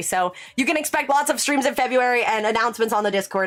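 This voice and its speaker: There is noticeable background noise behind this woman. Her pitch is high and her intonation lively. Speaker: streamer, reads chat aloud. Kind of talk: casual, chatty. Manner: fast talker.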